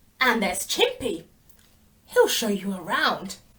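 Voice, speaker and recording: A woman does a put-on character voice at a fairly high pitch and a fairly slow pace. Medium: read story.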